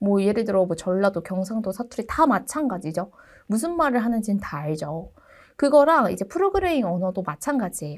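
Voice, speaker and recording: The voice moves at a fairly quick pace with very wide pitch swings, on a very clean recording with a silent background. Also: woman, medium pitch for a woman. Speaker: university lecturer. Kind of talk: lecture.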